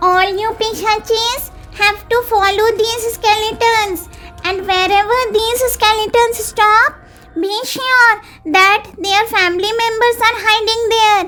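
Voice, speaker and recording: Over clear background music, a female-sounding put-on character voice pitched extremely high speaks at a fairly slow pace. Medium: read story.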